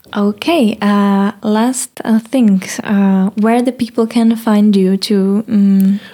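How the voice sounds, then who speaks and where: A woman speaks at a very slow pace with hardly any pauses, her pitch fairly high. Her intonation is fairly even and her loudness very even. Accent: Czech. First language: Czech. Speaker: podcast host. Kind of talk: casual interview in English. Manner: halting, searching for words.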